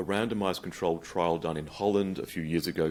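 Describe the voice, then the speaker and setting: At a very fast pace, a man with a very deep, low pitch speaks with monotone, flat intonation. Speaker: psychiatric researcher and lecturer. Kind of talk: conference lecture.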